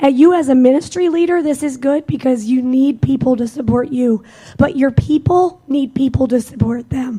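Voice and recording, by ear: With a dark, mellow tone, a woman speaks at a moderate pace in a high pitch with ordinary pitch variation.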